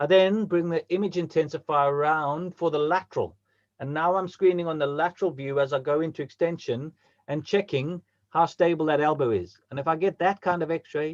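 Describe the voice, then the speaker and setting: Dry and close with no echo, this recording has a man with fairly high pitch. He speaks at a fairly quick pace with fairly even intonation. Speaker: orthopaedic surgeon. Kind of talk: lecture. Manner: fast.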